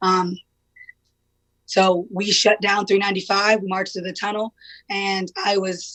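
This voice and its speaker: A woman speaks loudly at a fairly slow pace. Her intonation is monotone and flat. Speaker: protest leader. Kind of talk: interview.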